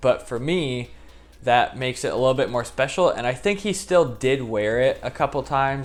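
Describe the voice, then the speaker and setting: Over noticeable background noise, a man with an American accent talks at a fairly quick pace and a medium pitch. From Indianapolis, US Midwest. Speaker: YouTuber, football kit collector. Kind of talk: casual vlog talk.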